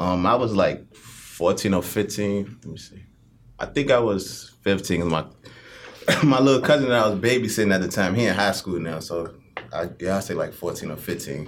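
A man with an ordinary speaking voice and a fairly low pitch talks at a moderate pace, with ordinary pitch variation and big swings in loudness. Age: 30s. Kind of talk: casual chat.

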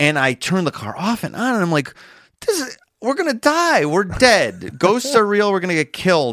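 A man with an American accent at a moderate pace, very wide pitch swings, and a very clean recording with a silent background. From Chicago area. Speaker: comedian and podcast host. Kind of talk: casual chat.

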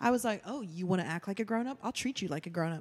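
A woman's animated tone and lively intonation on a very clean recording with a silent background. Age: 30s. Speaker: podcast guest. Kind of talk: casual chat.

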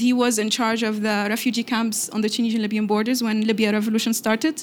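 Amid noticeable background noise and audible room echo, a woman with an Arabic accent speaks very fast at a fairly high pitch. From Tunisia. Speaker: youth envoy and activist. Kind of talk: onstage interview.

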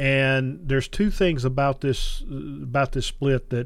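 A man speaks in a Southern US accent at a medium pitch. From North Carolina Piedmont. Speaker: outdoor podcast host, bow hunter and fly fisher. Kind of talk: casual interview chat. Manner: halting, many repetitions and fillers.

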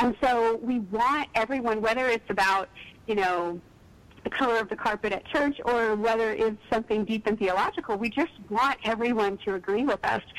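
A woman with an American accent has a plain, everyday voice, fairly high in pitch with ordinary variation. She keeps a moderate pace and very even loudness. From East Texas. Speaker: author. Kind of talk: casual chat.

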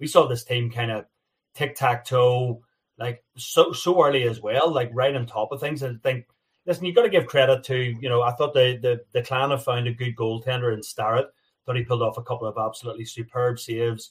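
The voice is somewhat breathy, with fairly even intonation. Its loudness swings widely. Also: man, medium pitch for a man. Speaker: ice hockey commentator and former podcast panelist. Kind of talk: casual chat.

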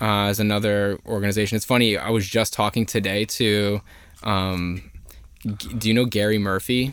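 With an American accent, a man speaks in an unremarkable speaking voice, fairly low in pitch, at a moderate pace with fairly even intonation. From New Jersey (Elizabeth). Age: 20s. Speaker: housing organizer. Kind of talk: casual chat.

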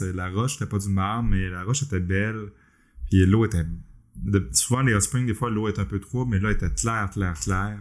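A man's fairly low voice in a Quebec accent, fairly quick in pace, with ordinary pitch variation. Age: 40s. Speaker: podcast host, web developer. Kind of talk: casual chat.

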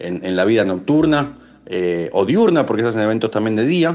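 A man with a Rioplatense accent and lively intonation. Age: 30s. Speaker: DJ. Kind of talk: interview. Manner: halting.

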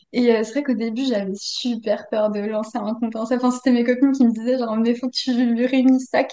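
A woman speaks at a high pitch in a dark, mellow tone, fast and flat in a monotone, with hardly any pauses. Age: 20s. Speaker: engineering student and crochet maker. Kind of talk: casual interview. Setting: video call.

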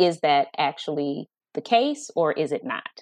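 A woman's very deep, low voice moves at a very slow pace. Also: dry, close sound with no echo. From Atlanta, Georgia. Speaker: actress. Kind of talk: interview. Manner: animated.

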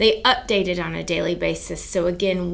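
A woman talks at a moderate speed while noticeable background noise and audible room echo fill the recording. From US South, South Carolina. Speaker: advertising agency owner. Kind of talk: interview.

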